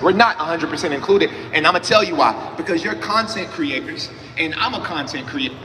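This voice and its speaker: A man with an American accent speaks at a very fast pace in an animated tone. Audible room echo and noticeable background noise fill the recording. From Atlanta, US South. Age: 20s. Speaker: panelist, entrepreneur and content creator. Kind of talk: panel talk on stage. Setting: stage with audience.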